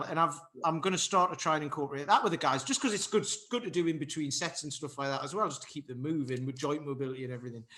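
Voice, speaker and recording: A man with a northeast English accent, very fast pace and lively intonation. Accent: north-east English. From north-east England, Durham. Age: 40s. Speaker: fitness coach and martial artist. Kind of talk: podcast interview.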